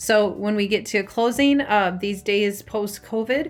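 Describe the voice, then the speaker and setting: A woman with an Upper Midwest accent and ordinary pitch variation. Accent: Upper Midwest American. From Minnesota, Minneapolis area. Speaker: real estate agent. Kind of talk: informational talk to camera. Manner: fast; casual, filler-heavy.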